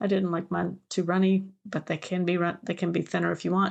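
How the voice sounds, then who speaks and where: A woman with an American accent, medium pitch, a fairly quick pace and a quiet background. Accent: Southern US, comes through at times. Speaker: podcast co-host, genealogist and family history expert. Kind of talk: casual chat. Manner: halting, many fillers and restarts.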